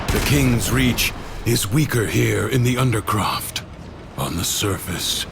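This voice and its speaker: Someone uses a put-on character voice at a fairly slow pace. Clear background noise runs beneath it. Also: man. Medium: machinima. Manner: measured, calm, instructive.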